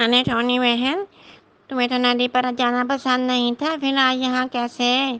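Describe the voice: A cartoonish character voice, female-sounding and high-pitched, at a fairly slow pace.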